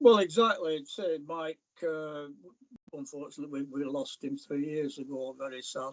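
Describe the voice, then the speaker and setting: A man speaks with a Lancashire accent. His pitch is fairly high. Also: ordinary pitch variation, moderate pace, big swings in loudness. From northern England, North East Lancashire mill town. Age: 80s+. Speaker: falconer and author. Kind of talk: interview.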